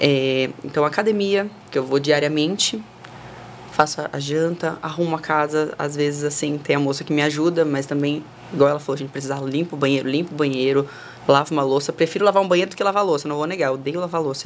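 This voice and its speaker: Fairly even intonation marks speech delivered at a fairly quick clip. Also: woman. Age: 20s. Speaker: model and influencer. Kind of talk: casual chat. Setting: studio.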